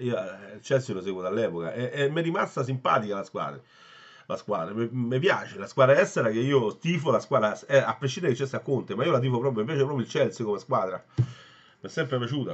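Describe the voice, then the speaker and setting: A man rattles along at a very fast pace, with the background quiet. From Italy. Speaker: football fan vlogger. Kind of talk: angry rant. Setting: solo home video. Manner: ranting, agitated, swearing and repeating himself; opinionated, casual and blunt, addressing viewers. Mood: frustrated, disappointed fan. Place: home room. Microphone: phone near.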